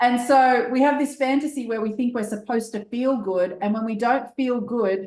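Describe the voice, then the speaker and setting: A woman speaks with an Australian accent. Her pace is fairly quick and her intonation fairly even. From Australia, Sydney. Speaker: business coach. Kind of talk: interview. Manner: fast.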